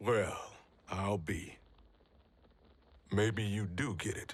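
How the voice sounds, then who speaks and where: Very slowly, a man puts on a raspy character voice, fairly low in pitch with fairly even intonation. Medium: video game. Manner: gruff, blunt.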